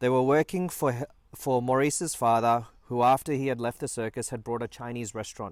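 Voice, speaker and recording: A man's medium-pitched, ordinary speaking voice at a moderate pace, with ordinary pitch variation, on a very clean recording with a silent background. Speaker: family documentary narrator. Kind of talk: documentary narration.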